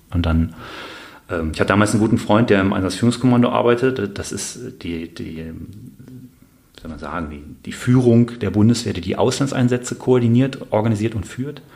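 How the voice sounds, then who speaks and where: Fairly low-pitched male voice at a moderate pace, with long, frequent pauses, big swings in loudness, ordinary pitch variation and noticeable background noise. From Bonn, Rhineland, western Germany. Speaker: army officer, paratrooper, Afghanistan veteran. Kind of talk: interview, personal testimony. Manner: halting, many fillers and repeated words.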